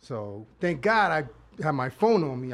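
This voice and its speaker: A fairly high-pitched man against a quiet background. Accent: strong New York. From Brooklyn, New York. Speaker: producer. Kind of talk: casual chat. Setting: live video show.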